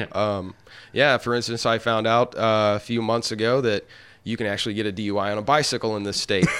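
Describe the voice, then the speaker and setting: This man has an unremarkable speaking voice with an American accent, pitched in the medium range. He moves at a fairly quick pace with fairly even intonation. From Arkansas, US South. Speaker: stand-up comedian. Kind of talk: casual interview chat.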